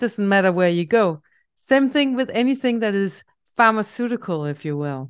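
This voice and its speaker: With a Danish accent, a woman talks at a moderate pace in a fairly high voice that swings very widely in pitch. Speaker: homeopath podcaster. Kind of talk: informative solo podcast talk. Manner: casual, chatty, enthusiastic.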